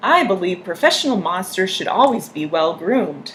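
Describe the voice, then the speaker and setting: A woman's put-on character voice at a medium pitch, moderate in pace, over clear background noise. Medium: read story. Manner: formal, fussy.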